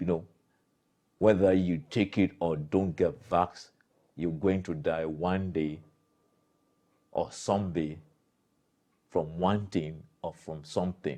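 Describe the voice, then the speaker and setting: A man speaks at a very slow pace in a very deep, low pitch, with a dark, mellow tone. His pitch varies in an ordinary way, and he leaves long, frequent pauses. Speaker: political commentator. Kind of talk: commentary monologue. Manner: animated.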